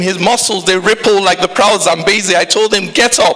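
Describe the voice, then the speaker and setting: Over noticeable background noise, a man speaks in a raised, projected voice, high in pitch, at a moderate pace. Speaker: spoken word poet. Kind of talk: spoken word poetry performance.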